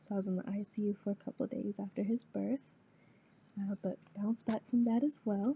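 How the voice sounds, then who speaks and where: A woman's somewhat breathy, medium-pitched voice with an American accent at a moderate pace. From US Midwest, Rapid City, South Dakota. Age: 20s. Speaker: student. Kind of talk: class speech. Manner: hesitant, with frequent fillers.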